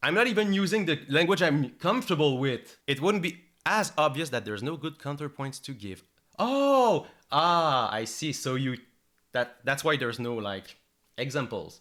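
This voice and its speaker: A man's bright, sharp, animated voice with a non-native accent, fairly high pitch, very wide pitch swings and a moderate pace. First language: not English. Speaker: psychology teacher and reaction youtuber. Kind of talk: reaction commentary. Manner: animated, fluctuating tone; loud at times.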